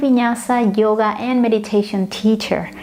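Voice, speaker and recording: Fairly high-pitched woman's voice with fairly even intonation amid noticeable background noise. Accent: Spanish. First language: Spanish. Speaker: yoga and meditation teacher. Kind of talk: tutorial. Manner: hesitant, many fillers.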